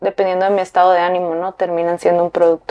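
A woman speaks at a medium pitch. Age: 30s. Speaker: fashion designer. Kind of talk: interview.

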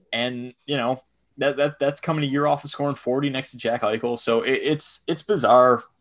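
A man talks with an American accent in an unremarkable speaking voice, fairly high and with fairly even intonation. His moderate pace comes through a very clean recording with a silent background. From Buffalo, New York, US. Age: 20s. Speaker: hockey analytics podcaster. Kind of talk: casual chat.

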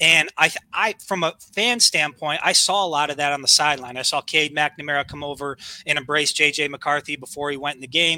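The man has an unremarkable speaking voice, fairly high in pitch. He goes at a fairly quick pace, with a dry, close sound and no echo. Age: 30s. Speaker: sports podcast co-host. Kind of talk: casual sports talk.

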